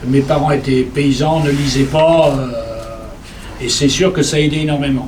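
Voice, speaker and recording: Noticeable background noise and audible room echo surround a man whose fairly high pitch stays monotone and flat as he speaks at a fairly slow pace. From Poitou plain, near Cherves. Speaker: traditional music collector. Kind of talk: seminar panel discussion.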